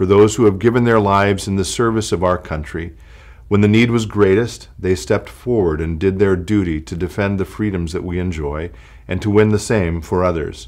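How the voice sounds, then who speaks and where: A man speaks in a plain, everyday voice. His pitch is fairly low, with ordinary pitch variation. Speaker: pastor. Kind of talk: fervent prayer, read aloud. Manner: solemn, reverent; slow, measured, heartfelt.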